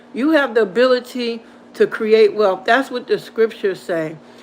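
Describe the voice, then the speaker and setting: Over noticeable background noise, a woman talks at a moderate pace with a fairly high pitch. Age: 60s. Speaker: motivational channel host. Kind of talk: livestream pep talk. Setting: live stream with chat. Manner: animated.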